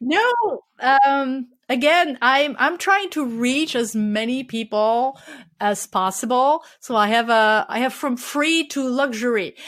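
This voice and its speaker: Over a very clean recording with a silent background, a woman with a French accent speaks at a very slow pace in a high pitch with ordinary pitch variation. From France. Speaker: street photographer and workshop leader. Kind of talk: interview.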